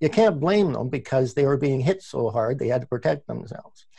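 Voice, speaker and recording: With a Canadian accent, a man speaks at a moderate pace in a dark, mellow, somewhat breathy tone with lively intonation. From Canada, Ontario (Oakville, near Toronto). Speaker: labor radio producer and host. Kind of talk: interview. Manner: halting, many repetitions.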